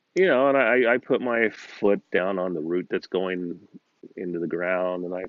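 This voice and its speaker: This man has a very deep, low pitch. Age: 60s. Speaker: personal vlogger. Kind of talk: casual monologue vlog. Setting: outdoors in backyard. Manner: halting, many fillers.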